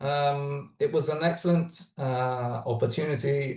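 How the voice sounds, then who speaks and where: A somewhat breathy man's voice at a medium pitch. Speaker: startup founder. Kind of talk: webinar talk. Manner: halting, many fillers.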